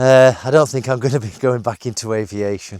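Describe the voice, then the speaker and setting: A man with a British accent at medium pitch and a moderate pace, in a dry, close sound with no echo. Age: 50s. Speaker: IT manager vlogging about redundancy. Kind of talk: casual vlog monologue. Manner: halting, many fillers.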